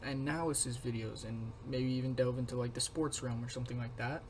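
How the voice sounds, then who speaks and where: A man speaks quietly and somewhat breathily with fairly even intonation, and there is audible room echo. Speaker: youtuber. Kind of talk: casual vlog commentary. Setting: home room with roommates nearby. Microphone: poor recording quality.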